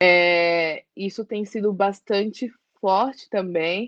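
With an unremarkable speaking voice, a woman talks at a medium pitch with ordinary pitch variation. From East Zone of São Paulo, Brazil. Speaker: social worker and activist. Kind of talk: interview.

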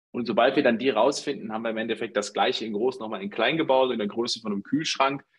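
This man talks at a very fast pace with hardly any pauses. His pitch is medium and his intonation fairly even. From Germany, Dortmund (Ruhr area). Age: 30s. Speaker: startup founder. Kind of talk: interview.

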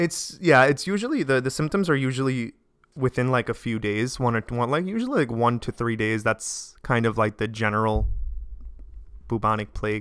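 A man's plain, everyday voice with an American accent, medium in pitch, with ordinary pitch variation, at a moderate pace. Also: very clean recording, silent background. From Staten Island, New York. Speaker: physician assistant. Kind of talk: casual chat.

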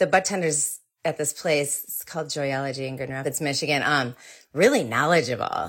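With a very deep, low pitch, a woman talks at a moderate pace, her pitch varying in an ordinary way while her loudness swings widely. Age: 40s. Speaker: marketing and PR professional. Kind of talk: interview.

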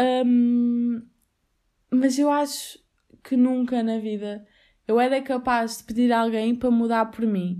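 A woman's high voice in a European Portuguese accent, dark and mellow in tone, monotone and flat, at a very slow pace with long, frequent pauses. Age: 20s. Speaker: podcast host, university student. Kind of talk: casual solo podcast monologue. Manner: chatty, frequent laughter and fillers.

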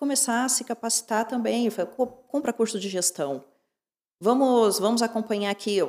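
The recording is very clean, with a silent background. A woman speaks at a fairly high pitch and a moderate pace, with ordinary pitch variation and long, frequent pauses. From Curitiba, southern Brazil. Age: 30s. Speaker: dentist and social media influencer. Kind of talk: casual interview.

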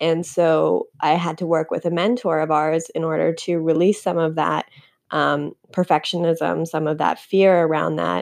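At a moderate pace, a woman with a fairly low pitch and fairly even intonation speaks in an unremarkable speaking voice over a quiet background. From Canada. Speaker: podcast co-host. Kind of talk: casual chat.

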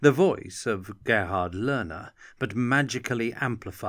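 The clip holds a natural reading voice. That voice carries from start to finish.

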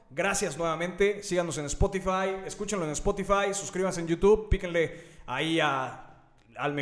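With a Mexican accent, a high-pitched man speaks at a moderate pace over noticeable background noise. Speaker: podcast host. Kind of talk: show outro; casual interview.

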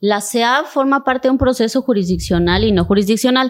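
This is a woman with an ordinary speaking voice and a fairly high pitch. She talks at a moderate pace with lively intonation. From Cintalapa, Chiapas, Mexico. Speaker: state official and human rights lawyer. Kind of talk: interview conversation.

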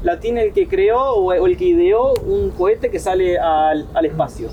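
A man is talking, and noticeable noise can be heard in the background. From Argentina, Paraná (Entre Ríos). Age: 30s. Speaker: entrepreneur. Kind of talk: interview.

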